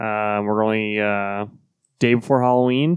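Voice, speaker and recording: A man talks with fairly even intonation over a quiet background. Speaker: comics podcast co-host. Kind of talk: casual chat. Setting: studio.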